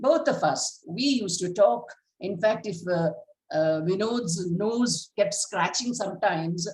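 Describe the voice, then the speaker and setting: A woman's somewhat breathy voice with lively intonation at a moderate pace. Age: 80s+. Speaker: school founder, award recipient. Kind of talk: acceptance speech. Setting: video call.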